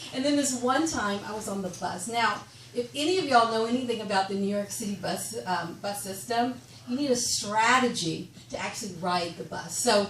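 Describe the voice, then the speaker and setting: With an American accent and lively intonation, a woman at a fairly high pitch talks at a moderate pace amid audible room echo and noticeable background noise. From Texas. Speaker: comedian. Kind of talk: stand-up. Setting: stage with audience. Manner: halting, many fillers.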